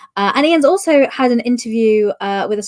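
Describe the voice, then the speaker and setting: A woman speaks with a British accent. She talks at a fairly quick pace. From UK. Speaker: podcast host. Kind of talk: interview. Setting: live stream.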